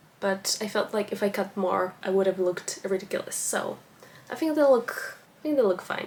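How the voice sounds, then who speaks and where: A woman with a non-native accent speaks at a moderate pace in a medium pitch, her intonation lively, over noticeable background noise. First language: not English. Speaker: book vlogger. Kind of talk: casual vlog talk to camera. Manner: casual, with frequent fillers.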